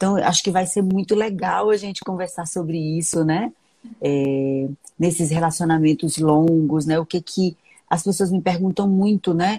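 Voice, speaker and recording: A woman's fairly low, somewhat breathy voice with a dark, mellow tone, ordinary pitch variation and a fairly slow pace. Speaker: gynecologist. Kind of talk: casual interview conversation.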